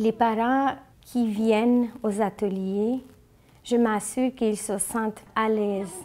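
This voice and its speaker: A woman's fairly high-pitched, dark, mellow voice with a Bengali accent, very slow pace, and monotone, flat intonation. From Bangladesh. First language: Bengali (speaking French). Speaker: school-community liaison and interpreter. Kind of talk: interview testimony.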